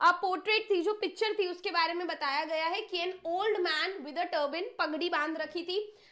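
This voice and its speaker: An animated woman talks at an extremely high pitch with hardly any pauses. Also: moderate pace. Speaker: English teacher. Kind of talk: online lecture. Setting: live stream.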